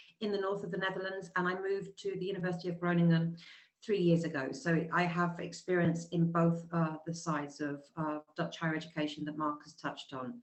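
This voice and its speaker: With a British accent, a woman speaks at a fairly quick pace in a fairly low pitch. Her intonation is fairly even. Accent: British, noticeable. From England, London. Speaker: university representative. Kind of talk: webinar presentation. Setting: video call webinar. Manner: hesitant, many fillers.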